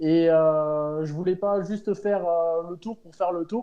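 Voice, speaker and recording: A man with a slight Pyrenees accent talks at a moderate pace in a high pitch. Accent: slight southern French (Pyrenees). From French Pyrenees. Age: 30s. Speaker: amateur cyclist, charity fundraiser. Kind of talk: interview. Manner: hesitant, many fillers.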